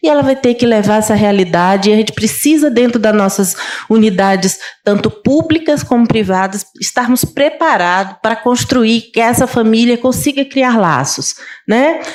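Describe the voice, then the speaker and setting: A woman speaks at a moderate pace with high pitch and lively intonation. Noticeable background noise sits behind her. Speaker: pediatrician and neonatologist. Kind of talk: conference talk. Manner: halting, self-correcting.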